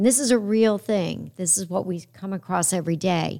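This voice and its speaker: Heard at a moderate pace, a normal speaking voice comes through a very clean recording with a silent background. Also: woman. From upstate New York. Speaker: podcast host. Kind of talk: interview.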